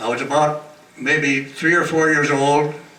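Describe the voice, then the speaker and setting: The intonation is fairly even. There is noticeable background noise. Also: man. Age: 80s+. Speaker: retirement home resident. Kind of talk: birthday speech with jokes. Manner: humorous.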